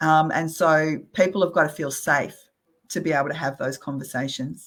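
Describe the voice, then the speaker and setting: In an Australian accent, a woman speaks at a very deep, low pitch and a moderate pace with fairly even intonation, in a very clean recording with a silent background. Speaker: real estate company CEO. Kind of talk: interview conversation.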